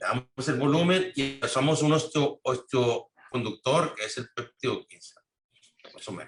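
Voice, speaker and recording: Somewhat breathy, a man talks at a fairly slow pace with a fairly high pitch. His loudness swings widely. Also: ordinary pitch variation. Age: 60s. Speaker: implant dentist. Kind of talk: interview. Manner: halting.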